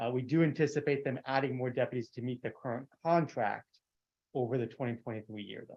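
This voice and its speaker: At a very fast pace, a man with a medium pitch and fairly even intonation speaks with big swings in loudness. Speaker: transit agency staff. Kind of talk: answering a question in a meeting.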